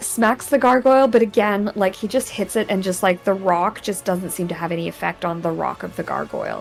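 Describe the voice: The clip is plain reading aloud. Nothing more is going on in the delivery.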